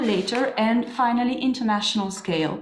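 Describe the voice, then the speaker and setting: At a moderate pace, someone speaks with a French-Swiss accent amid audible room echo. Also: woman. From French-speaking Switzerland, Neuchâtel. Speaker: historian and museum curator. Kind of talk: lecture.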